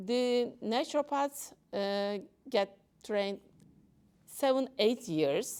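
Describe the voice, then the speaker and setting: The speaker has a Turkish accent and leaves long, frequent pauses. The recording is very clean, with a silent background. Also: woman. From Turkey. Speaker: doctor. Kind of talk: talk to an audience. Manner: halting.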